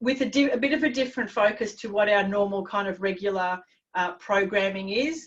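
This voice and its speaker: In an unremarkable speaking voice, a woman talks at a moderate pace with medium pitch and fairly even intonation. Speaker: confidence coach. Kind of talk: webinar presentation.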